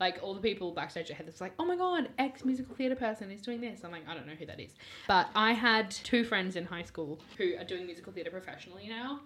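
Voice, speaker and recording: Speaking very fast with an Australian accent, a woman at a medium pitch shows big swings in loudness. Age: 20s. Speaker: musical theatre performer and student. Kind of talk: casual chat.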